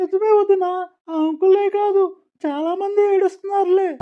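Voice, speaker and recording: A woman performs a cartoonish character voice at an extremely high pitch. She talks at a fairly slow pace in a monotone, flat intonation. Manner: chatty, gossipy.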